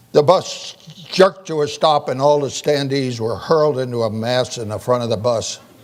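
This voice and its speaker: A man speaks at a medium pitch and a moderate pace, with ordinary pitch variation. Noticeable background noise runs underneath. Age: 80s+. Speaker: physician and keynote speaker on aging. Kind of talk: keynote speech.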